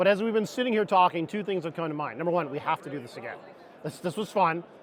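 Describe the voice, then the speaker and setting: Over noticeable background noise, a man races along at a very fast pace with a high pitch and ordinary pitch variation. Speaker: HVAC industry panelist. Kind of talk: panel discussion. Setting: trade show floor panel, miked up.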